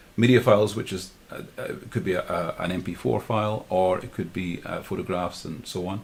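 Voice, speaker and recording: This man speaks in a Glasgow accent at a fairly quick pace, his very deep, low pitch showing ordinary variation and a somewhat breathy quality. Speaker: live streaming tutor. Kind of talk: tutorial. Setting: livestream with screen share. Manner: fast; halting, many fillers and repeats.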